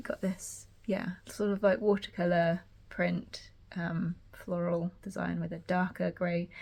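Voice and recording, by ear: With a slightly mellow tone and vocal fry, a woman speaks at a fairly low pitch using fairly even intonation.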